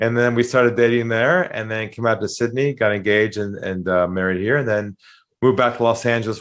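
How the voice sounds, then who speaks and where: Against a quiet background, a man with a Californian accent talks at a very fast pace with a fairly low pitch. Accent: American (Californian). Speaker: sales trainer. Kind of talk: interview.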